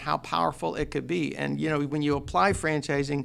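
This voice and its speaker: Fairly quick in pace, this man has an unremarkable speaking voice. It sits fairly high for a man. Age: 60s. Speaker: restaurant chain founder. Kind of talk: interview.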